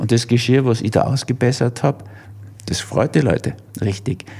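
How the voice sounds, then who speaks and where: A man's medium-pitched voice, at a moderate pace, is heard with noticeable background noise. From Germany. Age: 70s. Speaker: physician and author. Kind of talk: interview.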